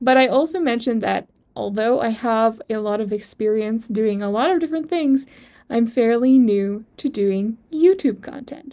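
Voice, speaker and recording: Her intonation is lively, in a fairly high pitch for a woman. The woman's tone is dark and mellow. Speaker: online entrepreneur and video creator. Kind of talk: personal story vlog. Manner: deliberately slow, measured pace; somewhat stiff.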